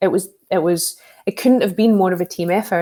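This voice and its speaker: A woman speaks with a Scottish accent and fairly even intonation. Her pitch is fairly low. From Scotland, working-class town. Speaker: security professional, social engineer, author. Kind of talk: interview.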